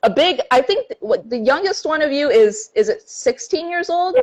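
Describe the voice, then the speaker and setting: A woman speaks in an animated tone with very wide pitch swings. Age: 20s. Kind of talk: casual chat. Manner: fast.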